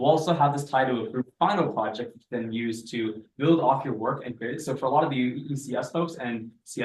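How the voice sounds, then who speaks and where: A man speaks at a medium pitch, his intonation lively. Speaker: teaching assistant. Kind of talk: lecture. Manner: fast; animated.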